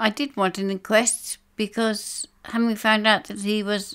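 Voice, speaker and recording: Here is a woman with an English accent. Her pace is fairly slow. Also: very clean recording, silent background. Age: 70s. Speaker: bereaved mother. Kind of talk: testimony. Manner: halting.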